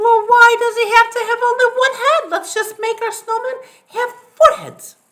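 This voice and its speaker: This is a put-on character voice, squeaky in sound. It moves at a moderate pace. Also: woman, extremely high pitch for a woman. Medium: read story. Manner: emphatic, dramatic.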